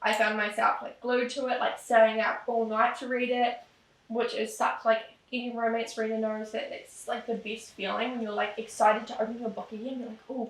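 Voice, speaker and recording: A woman speaks with a New Zealand accent at a moderate pace. Her intonation is monotone and flat, with big swings in loudness. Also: fairly high pitch for a woman. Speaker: romance author and booktuber. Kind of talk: casual chat. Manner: casual, rambling with fillers.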